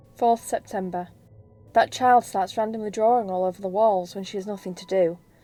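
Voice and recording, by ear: The clip is of a natural voice reading aloud.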